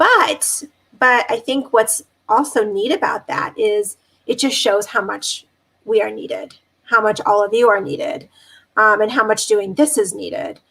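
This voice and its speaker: Speaking at a fairly slow pace, a woman with a fairly high pitch, a bright, sharp tone, vocal fry and ordinary pitch variation. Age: 40s. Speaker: dermatologist. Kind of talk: panel discussion. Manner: halting, many fillers.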